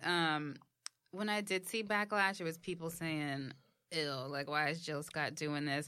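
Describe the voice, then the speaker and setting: In a New York accent, a woman speaks at a fairly slow pace with a very deep, low pitch and ordinary pitch variation. The recording is very clean, with a silent background. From New York, the Bronx. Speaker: podcast co-host. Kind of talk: casual chat.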